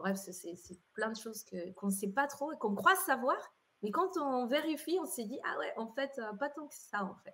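The voice moves at a fairly slow pace with very wide pitch swings and big swings in loudness. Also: woman, high pitch for a woman. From Colombia. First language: Spanish (speaking French). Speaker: entrepreneur and event organizer. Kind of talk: interview.

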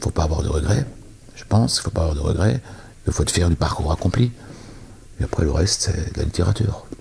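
Through noticeable background noise, a man with a very deep, low voice speaks very fast with lively intonation and long, frequent pauses. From Alsace, France. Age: 50s. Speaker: entrepreneur. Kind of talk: interview.

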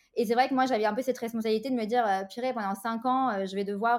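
A woman speaks in an ordinary speaking voice. Her pitch sits fairly high, and her intonation stays fairly even. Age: 30s. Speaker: interior decorator and business mentor. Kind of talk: interview.

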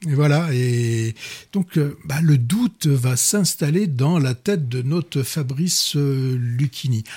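Very slowly, a man speaks in a somewhat breathy, dark, mellow voice at a fairly high pitch with ordinary pitch variation, captured on a very clean recording with a silent background. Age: 40s. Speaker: film critic radio host. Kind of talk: casual chat. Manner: halting, frequent repetitions.

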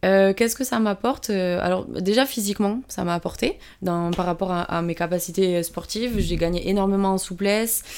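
The speech flows with hardly any pauses and ordinary pitch variation. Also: woman, medium pitch for a woman, moderate pace. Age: 20s. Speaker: PE teacher and amateur rugby player. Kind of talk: interview. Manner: hesitant, many fillers.

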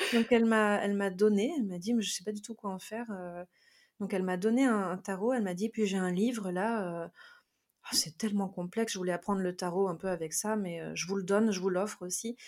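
Speaking at a fairly quick pace, a woman uses a normal speaking voice with a medium pitch and fairly even intonation. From France. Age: 30s. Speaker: tarot reader. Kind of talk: interview.

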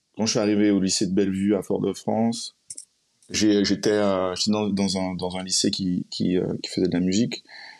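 A man talks at a fairly slow pace in a monotone, flat delivery. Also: fairly low pitch for a man. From Martinique. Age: 30s. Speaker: musician. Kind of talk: casual chat.

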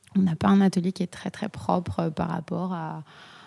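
A woman speaks at a medium pitch in a dark, mellow tone. The recording is very clean, with a silent background and a dry, close sound that has no echo. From Corsica. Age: 30s. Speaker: ceramicist. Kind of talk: casual chat.

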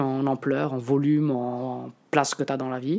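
Her dark, mellow tone sits at a very deep, low pitch for a woman, with fairly even intonation. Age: 30s. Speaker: photographer and reporter. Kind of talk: casual interview talk. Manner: halting.

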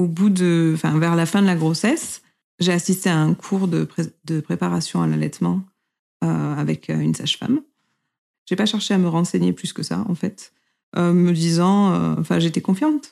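A woman at a moderate pace with long, frequent pauses, on a very clean recording with a silent background. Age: 30s. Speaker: mother sharing breastfeeding story. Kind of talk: personal testimony.

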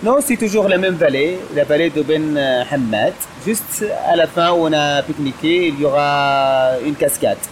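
With an Arabic accent, the speaker talks fairly slowly at a very even loudness and with ordinary pitch variation, over noticeable background noise. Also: man, fairly high pitch for a man. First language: Arabic (speaking French). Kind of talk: casual interview. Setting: outdoors. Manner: halting.

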